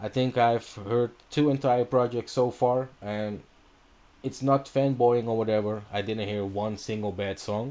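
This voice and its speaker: A man's dark, mellow voice at medium pitch, with a Dutch accent, fairly slow pace and fairly even intonation. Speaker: radio host. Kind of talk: radio show intro. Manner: casual, hesitant with fillers.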